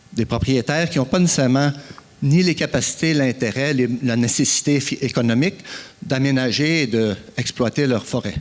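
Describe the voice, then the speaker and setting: Against noticeable background noise, a man of medium pitch talks at a moderate pace with ordinary pitch variation and long, frequent pauses. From Quebec, Eastern Townships (Frelighsburg). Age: 60s. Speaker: farmer and forest producer, conference speaker. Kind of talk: conference talk. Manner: hesitant, many fillers.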